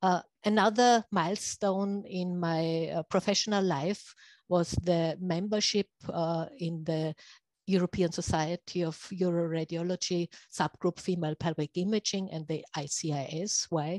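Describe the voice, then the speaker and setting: With a German accent, a woman speaks at a fairly slow pace in a fairly low pitch and fairly even intonation, the sound dry and close with no echo against a quiet background. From Austria. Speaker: radiology professor. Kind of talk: lecture. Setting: video call. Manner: halting.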